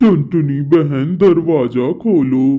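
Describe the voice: A man's cartoonish character voice, fairly high in pitch, with ordinary pitch variation.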